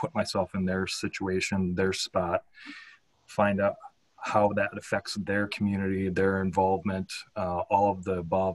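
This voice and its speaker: Man at a fairly low pitch, flat and monotone, at a fairly slow pace. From Minnesota, northern and Northfield. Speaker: city council candidate. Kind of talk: candidate forum answers. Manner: halting.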